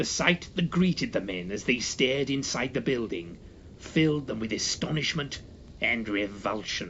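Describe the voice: Lively intonation in a plain read-aloud passage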